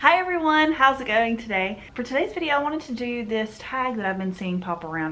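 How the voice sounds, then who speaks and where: Over noticeable background noise, a woman with a strong Southern US accent speaks with lively intonation. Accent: thick southern US. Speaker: book and manga vlogger. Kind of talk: casual chat.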